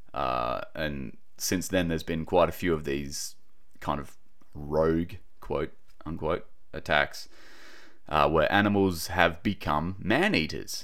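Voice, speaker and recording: Speaking in an Australian accent at a very slow pace with long, frequent pauses, a man uses a very deep, low pitch and vocal fry. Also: ordinary pitch variation. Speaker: podcaster and wildlife relocator. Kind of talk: casual solo podcast monologue. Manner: casual, chatty, informal.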